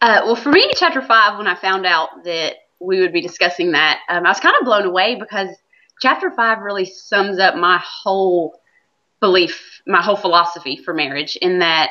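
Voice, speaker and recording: A woman with an American accent, at a moderate pace, with ordinary pitch variation. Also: medium pitch for a woman. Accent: Southern US accent, noticed by others. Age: 30s. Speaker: stay-at-home mom. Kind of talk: interview.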